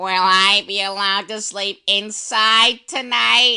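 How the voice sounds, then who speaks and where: A put-on character voice, female-sounding, at medium pitch and a fairly slow pace. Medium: audio drama. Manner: doting, naive.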